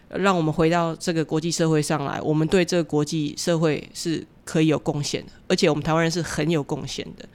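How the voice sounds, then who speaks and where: Very deep and low for a woman, her flat, monotone voice runs at a fairly quick pace with hardly any pauses and big swings in loudness, on a very clean recording with a silent background. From Taiwan. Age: 40s. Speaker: author and social worker. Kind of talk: interview.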